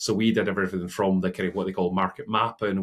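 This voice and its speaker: On a very clean recording with a silent background, a man with a Scottish accent speaks at a fairly low pitch with fairly even intonation. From Scotland. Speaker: innovation consultancy CEO. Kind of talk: interview.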